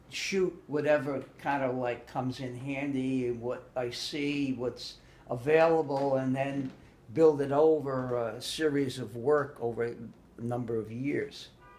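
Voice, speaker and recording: Over noticeable background noise, a man talks fairly slowly at a medium pitch with fairly even intonation. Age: 70s. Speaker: artist and photographer. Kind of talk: interview answer. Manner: casual, hesitant.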